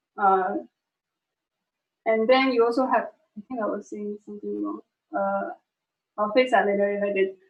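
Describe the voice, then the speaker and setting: A woman of medium pitch speaks at a moderate pace with ordinary pitch variation and long, frequent pauses. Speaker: tech presenter. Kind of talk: technical talk to colleagues on livestream. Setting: online stream with screen sharing. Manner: many filler words, hesitant.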